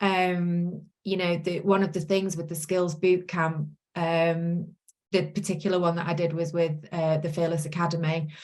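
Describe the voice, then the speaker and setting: A woman with a Manchester accent speaks at a fairly low pitch and a moderate pace. Her intonation is monotone and flat. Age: 40s. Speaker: course participant, self-employed virtual assistant. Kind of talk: interview testimony. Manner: hesitant, many fillers.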